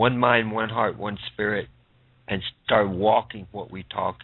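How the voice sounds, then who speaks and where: At a fairly slow pace, a man speaks with fairly even intonation and a fairly low pitch. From Sioux Valley Dakota Nation, Canada. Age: 50s. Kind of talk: radio interview.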